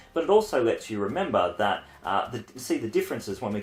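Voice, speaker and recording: At a fairly quick pace, a man talks with an Australian accent. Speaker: university lecturer. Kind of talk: lecture. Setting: home. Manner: fast.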